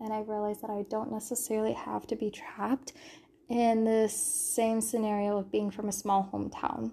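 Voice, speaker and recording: A woman with an American accent has an ordinary speaking voice and a fairly high pitch. She keeps a moderate pace and fairly even intonation. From California. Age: 20s. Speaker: podcast host. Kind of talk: casual monologue. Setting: sparse bedroom. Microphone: echoey room audio.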